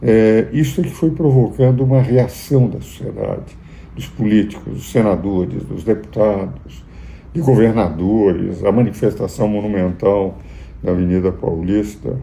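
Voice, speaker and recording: A man's fairly low voice at a fairly slow pace, with very wide pitch swings and audible room echo. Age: 80s+. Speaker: jurist and political commentator. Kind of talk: political commentary.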